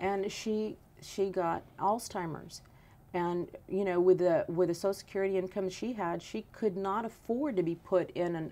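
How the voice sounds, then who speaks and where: Here a woman speaks with an American accent at a fairly low pitch. Her tone is dark and mellow. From South Texas, Benavides. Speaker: congressional candidate. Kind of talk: political interview.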